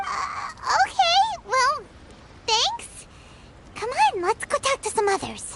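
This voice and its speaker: A squeaky, extremely high put-on character voice moves at a fairly slow pace with long, frequent pauses over light background noise. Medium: video game. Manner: brisk, casual.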